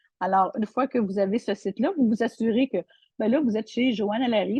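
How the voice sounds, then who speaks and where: Somewhat breathy and fairly high-pitched, a woman speaks at a fairly quick pace. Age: 60s. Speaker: online seller. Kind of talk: product tutorial. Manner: halting, many repetitions and fillers.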